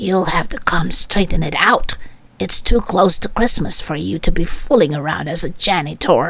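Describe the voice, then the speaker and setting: A woman puts on a character voice with fairly low pitch, speaking at a moderate pace. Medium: read story. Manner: excited, insistent.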